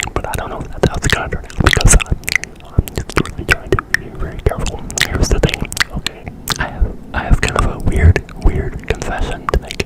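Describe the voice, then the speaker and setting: Noticeable background noise accompanies a whisper delivered at a fairly quick pace. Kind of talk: ASMR whisper video. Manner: whispered; semi-unintelligible.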